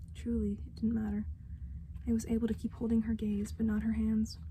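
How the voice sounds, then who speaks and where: A woman's very deep, low voice, somewhat breathy with a dark, mellow tone, monotone and flat, at a fairly quick pace. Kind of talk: ASMR story reading to help the listener sleep.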